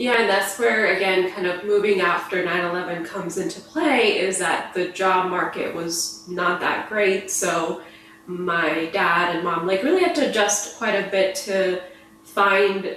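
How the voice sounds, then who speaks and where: A woman with a Midwestern accent speaks at a fairly slow pace with fairly even intonation, amid noticeable background noise and audible room echo. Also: medium pitch for a woman. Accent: American Midwest. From US Midwest (Chicago area, Missouri), moved from India at 8. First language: Gujarati. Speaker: neuroscience PhD, podcast guest. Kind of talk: casual interview.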